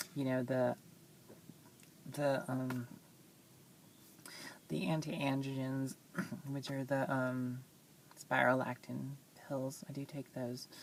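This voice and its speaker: A woman speaks at a very slow pace with a very deep, low pitch and fairly even intonation. Long, frequent pauses break up her speech, with noticeable background noise throughout. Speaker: vlogger. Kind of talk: casual vlog monologue. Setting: in a car. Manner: hesitant, many fillers.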